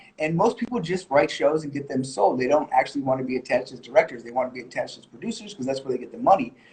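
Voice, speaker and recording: Somewhat breathy and fairly high-pitched, this man speaks with lively intonation. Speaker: music video director and editor. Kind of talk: live Q&A. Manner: fast; hesitant with fillers.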